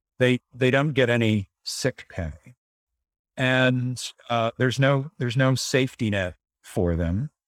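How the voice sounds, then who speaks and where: This man has a plain, everyday voice at medium pitch, with ordinary pitch variation and a fairly slow pace in a dry, close sound with no echo. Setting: video call.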